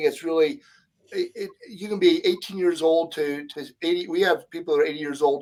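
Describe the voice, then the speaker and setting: A man talks in a high pitch at a fairly quick pace. His pitch variation is ordinary. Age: 60s. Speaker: podcast co-host. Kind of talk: casual chat. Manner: halting.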